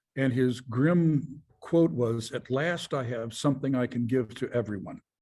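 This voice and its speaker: The voice is somewhat breathy with a dark, mellow tone. It moves at a fairly slow pace with ordinary pitch variation. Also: man, medium pitch for a man. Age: 70s. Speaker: founder and chairman of a design company. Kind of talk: interview.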